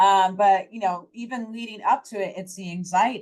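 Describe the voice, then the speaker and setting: Here a woman talks at a moderate pace. Her pitch sits in the medium range. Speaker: startup founder and HR expert. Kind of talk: panel discussion. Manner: loud; animated.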